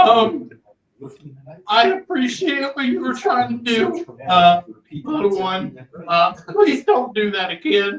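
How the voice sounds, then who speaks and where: A squeaky put-on character voice with very wide pitch swings, a fairly slow pace, and long, frequent pauses. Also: man, extremely high pitch for a man. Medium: actual play. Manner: hesitant, full of ums.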